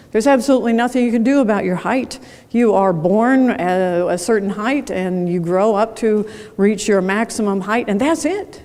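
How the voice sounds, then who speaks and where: Room echo is audible as a woman speaks at a moderate pace. Her pitch is fairly high and varies in an ordinary way. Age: 70s. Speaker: keynote speaker. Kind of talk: conference keynote talk. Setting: stage with audience. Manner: conversational, engaging with audience.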